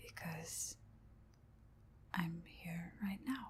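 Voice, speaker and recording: Soft-spoken, the voice moves at a very slow pace. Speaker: ASMR creator. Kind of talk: ASMR rambling to camera.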